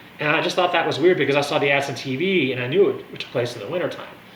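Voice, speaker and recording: This man talks very fast, with audible room echo and noticeable background noise in the recording. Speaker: wine and music video blogger. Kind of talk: casual monologue review. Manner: animated.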